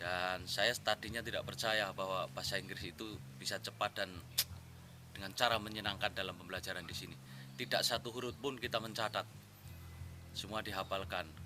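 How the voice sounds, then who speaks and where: A man's fairly low voice with vocal fry and a bright, sharp tone, at a fairly quick pace. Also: ordinary pitch variation. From Central Java (Wonosobo). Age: 30s. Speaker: language course student. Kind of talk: testimonial.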